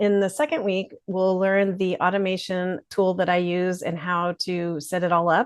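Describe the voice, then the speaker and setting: A woman with a plain, everyday voice talks at a moderate pace and medium pitch, with hardly any pauses. Her intonation is fairly even, and the background is quiet. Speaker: marketing consultant and business founder. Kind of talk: webinar presentation. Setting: live webinar, presenting alone.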